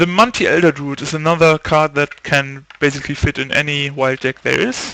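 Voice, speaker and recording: This man speaks at a moderate pace with a non-native accent and a fairly high pitch. His tone is bright and sharp, and the sound is dry and close with no echo. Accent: heavy non-native. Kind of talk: casual game review talk.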